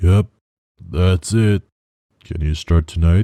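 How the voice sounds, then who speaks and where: A man does a put-on character voice, raspy and very deep, at a fairly slow pace. His intonation stays fairly even, and the sound is dry and close with no echo. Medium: read story. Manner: curt, gruff.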